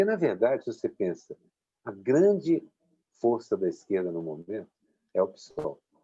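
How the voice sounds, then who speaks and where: A man speaks with long, frequent pauses. His pace is moderate. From Belo Horizonte, Minas Gerais, Brazil. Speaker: political cartoonist. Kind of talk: interview answer.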